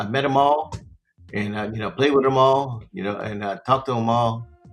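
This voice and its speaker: Music plays in the background as a man with an American accent talks at a moderate pace. His pitch is medium, with ordinary variation. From US, Baltimore, Maryland. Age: 60s. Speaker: podcast host, financial advisor. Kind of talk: podcast monologue. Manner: casual, repetitive; halting.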